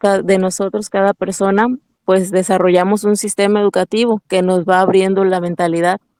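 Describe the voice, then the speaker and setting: At a moderate pace, a woman in a Huasteca accent speaks with a medium pitch, monotone, flat intonation and very even loudness, in a dry, close sound with no echo. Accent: Mexican Spanish, Huasteca. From Mexico, Huasteca Potosina (San Luis Potosí). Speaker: network marketing entrepreneur. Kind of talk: interview.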